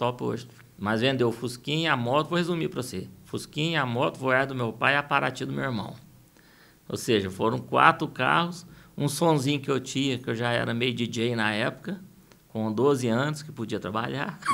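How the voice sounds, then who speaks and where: Bright and sharp in tone, a man with a medium pitch shows vocal fry. He talks at a fairly quick pace. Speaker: singer and music producer. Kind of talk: interview.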